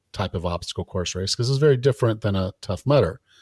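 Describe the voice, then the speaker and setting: An ordinary speaking voice comes from a man with a fairly low pitch and ordinary pitch variation. The recording is very clean with a silent background, its sound dry and close, with no echo. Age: 50s. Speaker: personal trainer and fitness podcast host. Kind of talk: casual interview chat.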